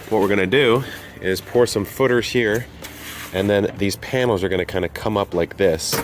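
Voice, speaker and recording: Against noticeable background noise, a man speaks fairly quickly in a fairly low pitch with ordinary pitch variation. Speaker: homesteader vlogger. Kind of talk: casual vlog tutorial chat. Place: garden. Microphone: phone near.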